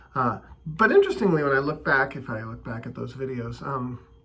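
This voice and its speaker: At a fairly quick clip, a man talks against noticeable background noise. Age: 50s. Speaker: video blogger on bitcoin and politics. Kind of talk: casual monologue. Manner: hesitant, with many fillers and repetitions.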